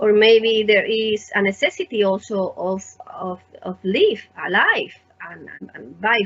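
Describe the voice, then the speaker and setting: A woman with a Spanish accent, medium pitch and ordinary pitch variation. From Spain. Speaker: artist and teacher, interviewer. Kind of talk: conversational interview.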